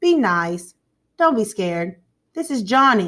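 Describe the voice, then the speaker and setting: Using a put-on character voice, a woman speaks at a medium pitch and a fairly slow pace with very wide pitch swings. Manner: teasing.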